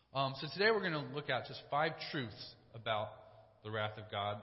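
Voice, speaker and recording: The pace of this man's speech is fairly quick. Beneath him, background noise is noticeable. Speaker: church staff preacher. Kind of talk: sermon. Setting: church. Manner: fast talker.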